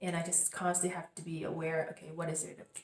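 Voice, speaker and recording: A woman talks at a fairly quick pace. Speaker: spiritual crystal coach, channel host. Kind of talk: casual vlog monologue. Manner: hesitant, many fillers.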